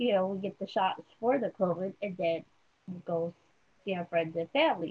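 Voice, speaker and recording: A woman with an ordinary speaking voice talks at a moderate pace. Her pitch varies normally. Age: 40s. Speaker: podcast host. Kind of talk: interview.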